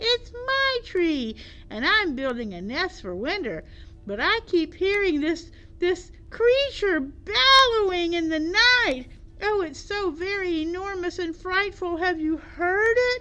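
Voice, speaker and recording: Putting on a squeaky character voice, a woman talks at an extremely high pitch. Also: fairly slow pace. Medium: read story. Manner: small, timid.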